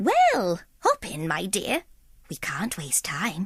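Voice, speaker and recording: A put-on character voice that sounds female speaks at a medium pitch and a very slow pace. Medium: read story. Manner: warm, bustling.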